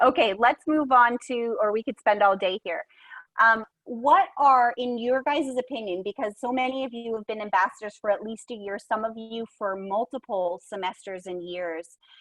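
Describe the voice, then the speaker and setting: At a moderate pace and fairly high pitch, a woman speaks with ordinary pitch variation and big swings in loudness, the sound dry and close with no echo against a quiet background. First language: bilingual English and French. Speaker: program coordinator moderating a discussion. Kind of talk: virtual roundtable discussion.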